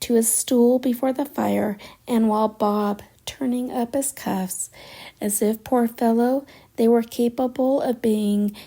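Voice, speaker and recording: Soft-spoken and soothing, a woman talks at a very slow pace with a fairly high pitch, a dark, mellow tone and fairly even intonation, in a very clean recording with a silent background. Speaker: audiobook narrator. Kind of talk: sleep story. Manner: soothing, soft-spoken.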